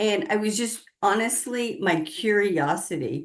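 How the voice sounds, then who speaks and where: A woman with an American accent speaks at a very slow pace with lively intonation. Her pitch is medium, and the background is quiet. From US South, southern Appalachia / southern Kentucky. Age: 60s. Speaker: spiritual consultant and author. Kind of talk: interview.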